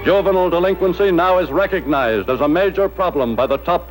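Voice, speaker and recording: With music in the background, the speech moves at a very fast pace with ordinary pitch variation. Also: man. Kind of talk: newsreel narration.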